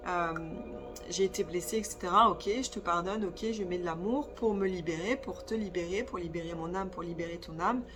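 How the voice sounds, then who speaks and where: A woman's voice shows ordinary pitch variation. Music can be heard in the background. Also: medium pitch for a woman, moderate pace. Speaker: spiritual medium and energy therapist. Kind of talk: channelled spiritual guidance monologue. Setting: sitting on the floor, filming herself. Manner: hesitant, many filler sounds.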